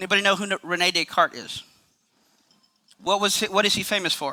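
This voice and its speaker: Here a man talks in a raised, projected voice at a very fast pace. His pitch is high and his tone bright and sharp, with a dry, close sound and no echo. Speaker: apologetics speaker. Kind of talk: lecture.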